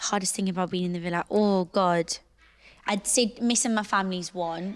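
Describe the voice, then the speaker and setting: Here a woman talks with a Geordie accent at a fairly quick pace. Her intonation is fairly even, and the recording is very clean with a silent background. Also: medium pitch for a woman. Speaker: reality TV personality. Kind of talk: podcast interview answer.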